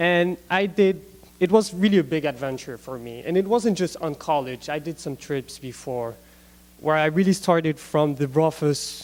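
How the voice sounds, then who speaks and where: A man speaks with a non-native accent and a fairly high pitch. His pitch varies in an ordinary way. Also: moderate pace, big swings in loudness. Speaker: gap year student. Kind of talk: student presentation. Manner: halting, many fillers.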